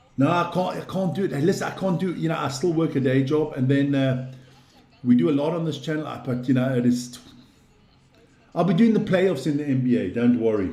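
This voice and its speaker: With audible room echo and noticeable background noise, a man talks fairly quickly at a fairly high pitch, his tone animated and his intonation lively. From South Africa, Western Cape (Plumstead), Swiss-born. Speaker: sports live stream host. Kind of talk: casual live stream chat.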